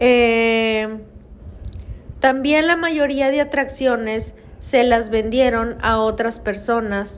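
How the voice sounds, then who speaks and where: A woman speaks very slowly at a fairly high pitch, with ordinary pitch variation. Noticeable background noise and audible room echo fill the recording. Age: 30s. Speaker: podcast host, paranormal storyteller. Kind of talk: storytelling narration.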